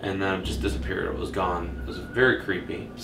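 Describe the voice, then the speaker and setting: Over music in the background, a man speaks at a fairly quick pace with very wide pitch swings. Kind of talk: commentary. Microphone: camera far.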